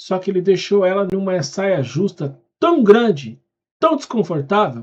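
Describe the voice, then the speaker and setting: Here a man talks at a fairly slow pace. His high pitch moves in very wide swings. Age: 40s. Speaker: reaction youtuber. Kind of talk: casual reaction commentary. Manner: animated.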